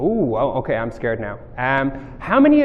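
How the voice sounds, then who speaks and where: Talking at a moderate pace with an Irish accent, a man's voice sits fairly high. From Ireland. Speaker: mobile software developer, conference speaker. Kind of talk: tech talk presentation. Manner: casual, many filler words.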